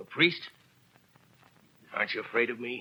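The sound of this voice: Putting on a character voice, a man speaks at medium pitch with lively intonation, a bright, sharp tone and a slightly husky edge. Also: moderate pace.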